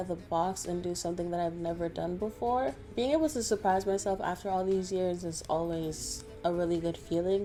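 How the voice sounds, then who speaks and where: With music in the background, a woman talks at a fairly quick pace with ordinary pitch variation. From Toronto, Canada. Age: 20s. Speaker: graphic designer. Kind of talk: Q&A answers to camera.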